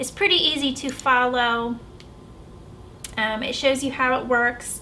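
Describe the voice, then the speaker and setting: Raising and projecting her high-pitched voice, a woman with an American accent speaks at a fairly slow pace with fairly even intonation amid audible room echo. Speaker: vlogger. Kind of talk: casual vlog review.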